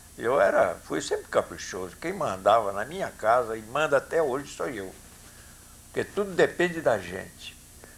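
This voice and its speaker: Moderately paced speech from a man, noticeable background noise behind it. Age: 70s. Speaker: former cinema owner. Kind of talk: interview.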